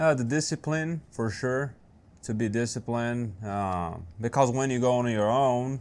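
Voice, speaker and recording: A man with a Brazilian Portuguese accent speaks at a fairly slow pace in a medium pitch with ordinary pitch variation. The recording is very clean, the background silent. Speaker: small business owner. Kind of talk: interview.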